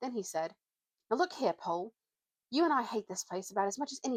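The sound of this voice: Lively intonation colors an unforced reading voice. The background is quiet.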